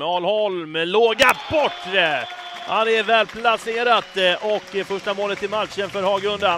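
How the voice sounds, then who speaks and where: There is noticeable background noise, and the sound is dry with no echo. A man speaks at a high pitch and a fairly slow pace, with ordinary pitch variation and big swings in loudness. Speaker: sports commentator. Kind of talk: live sports commentary (highlights reel voice-over). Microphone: headset.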